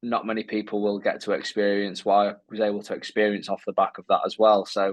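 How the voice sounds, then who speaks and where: A man with a Lancashire accent speaks at a fairly low pitch in monotone, flat intonation. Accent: northern English (Lancashire). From northern England, Lancashire coast. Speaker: wheelchair athlete. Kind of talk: casual interview chat.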